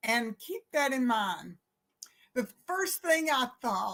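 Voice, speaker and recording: With a Southern US accent, a woman speaks at a very slow pace and sounds somewhat breathy. The recording is very clean, with a silent background. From US South (Alabama). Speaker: minister. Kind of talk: sermon.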